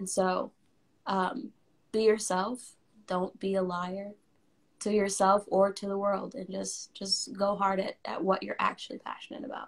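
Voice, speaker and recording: Over a quiet background, a woman speaks somewhat breathily at a fairly slow pace. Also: fairly even intonation. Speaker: musician. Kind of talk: casual interview. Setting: live video stream. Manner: casual, laughs often. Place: home room. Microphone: phone near.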